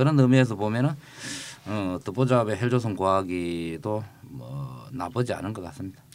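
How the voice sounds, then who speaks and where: A man speaks at a moderate pace in a fairly low pitch. His loudness swings widely. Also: lively intonation. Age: 50s. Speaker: podcast co-host, former presidential aide. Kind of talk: casual chat. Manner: hesitant with frequent fillers.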